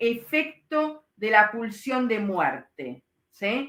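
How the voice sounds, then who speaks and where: At a very slow pace, a woman speaks with a bright, sharp tone, a fairly high pitch and lively intonation. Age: 60s. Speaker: psychoanalyst. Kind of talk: lecture with live Q&A. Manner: hesitant, many fillers.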